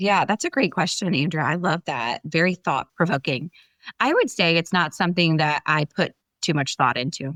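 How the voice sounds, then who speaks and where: Recorded dry and close with no echo against a silent background in a very clean recording, a woman speaks in a fairly low voice with ordinary pitch variation. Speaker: business leader. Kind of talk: interview. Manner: fast; animated.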